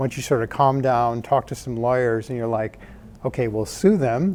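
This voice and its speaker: A man with an American accent talks at a fairly quick pace, with medium pitch and ordinary pitch variation. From US Midwest (Michigan, Indiana). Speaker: startup founder and tech executive. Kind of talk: conference talk. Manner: soft-spoken.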